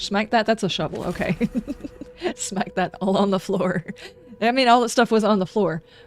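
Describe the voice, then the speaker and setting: Noticeable background noise sits behind a woman with a medium pitch and ordinary pitch variation. She talks at a moderate pace with long, frequent pauses. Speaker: video game streamer. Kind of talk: live game stream commentary with reading aloud. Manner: casual, conversational.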